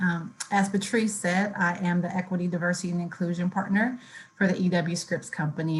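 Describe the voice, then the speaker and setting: Monotone and flat in intonation, a woman talks at a fairly quick pace in a fairly low, somewhat breathy voice. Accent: American. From Ohio, Youngstown. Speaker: diversity and inclusion officer, panelist. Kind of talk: panel discussion.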